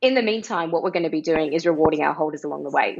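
A woman is speaking. She has an Australian accent. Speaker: NFT project co-founder. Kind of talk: casual interview.

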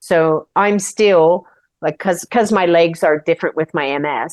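Her voice fairly low in pitch with ordinary pitch variation, a woman speaks in a normal speaking voice. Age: 60s. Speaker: Paralympic cyclist. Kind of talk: interview.

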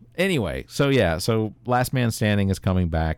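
Very wide pitch swings stand out on a very clean recording with a silent background. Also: man. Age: 30s. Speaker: podcast host. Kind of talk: casual chat. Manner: halting.

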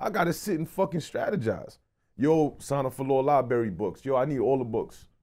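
Fairly high in pitch, a man's dark, mellow tone moves at a fairly quick pace with lively intonation. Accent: New York. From Brooklyn, New York. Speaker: podcast co-host and magazine founder. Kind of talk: casual interview.

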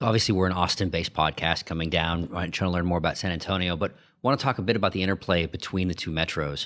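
On a very clean recording with a silent background, a man talks at a very fast pace in a very deep, low pitch with fairly even intonation. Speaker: podcast host. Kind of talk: interview.

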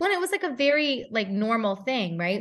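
A woman with a fairly high pitch speaks at a fairly quick pace in a plain, everyday voice. The background is quiet. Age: 30s. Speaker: former intelligence officer turned novelist. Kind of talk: casual interview.

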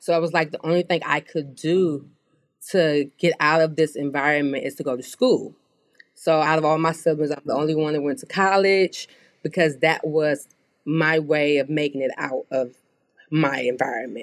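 Her very deep, low voice moves at a moderate pace with ordinary pitch variation. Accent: American. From US Midwest, inner-city Chicago. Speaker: beauty brand co-founder. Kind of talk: interview.

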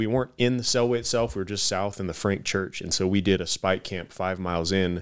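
An unremarkable speaking voice from a man with an American accent, fairly low in pitch, with ordinary pitch variation, at a fairly quick pace, in a very clean recording against a silent background. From Tucson, Arizona. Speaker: war veteran and archery business owner. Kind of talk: casual interview conversation.

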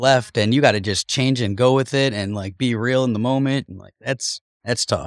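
Recorded very cleanly against a silent background, a man with an American accent and a normal speaking voice talks at medium pitch and a moderate pace with fairly even intonation. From US Midwest, Cleveland. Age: 40s. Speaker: podcast co-host. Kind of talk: casual chat. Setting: studio.

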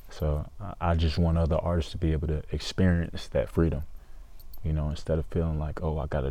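There is a slight Southern US accent in this man's very deep, low voice, which has a dark, mellow tone and fairly even intonation. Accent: Southern US, slight twang. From Georgia, US. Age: 20s. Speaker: country singer-songwriter. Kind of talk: casual interview chat. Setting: studio. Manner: mature, thoughtful.

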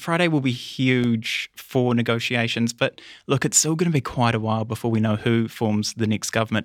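A man with a plain, everyday voice speaks at a moderate pace and medium pitch, with ordinary pitch variation, very even loudness and hardly any pauses, in a very clean recording with a silent background. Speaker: political reporter. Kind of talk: news analysis interview.

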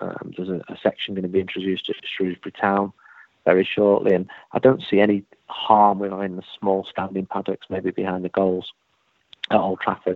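A man speaks at a fairly quick pace with a Mancunian accent. His fairly low voice stays monotone and flat. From Manchester, England. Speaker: football journalist. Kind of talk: interview.

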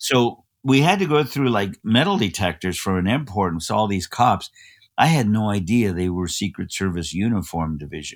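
A man with an American accent and an unremarkable speaking voice, fairly low in pitch with lively intonation, in a very clean recording with a silent background. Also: moderate pace. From Los Angeles, US. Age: 60s. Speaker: pastor. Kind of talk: interview.

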